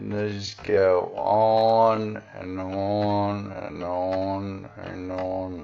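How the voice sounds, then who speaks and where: The speech comes at a very slow pace with hardly any pauses and fairly even intonation, over noticeable background noise and audible room echo. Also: man, fairly low pitch for a man. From Western Australia. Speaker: video blogger. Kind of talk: casual commentary on a screen. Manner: casual with fillers.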